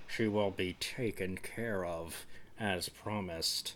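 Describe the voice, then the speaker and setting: A man puts on a character voice with a very deep, low pitch and fairly even intonation. He speaks at a fairly slow pace over clear background noise. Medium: read story. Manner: polite, coolly menacing.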